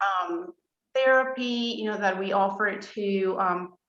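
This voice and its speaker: A woman with a Spanish accent and a medium pitch. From Colombia. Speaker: therapist. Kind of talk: interview. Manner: hesitant, many fillers.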